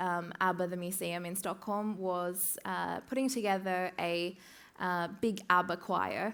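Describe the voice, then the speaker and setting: Very slow speech from a woman with an Australian accent, medium pitch and fairly even intonation. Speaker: music tech community co-founder. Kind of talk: conference talk. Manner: hesitant with many fillers.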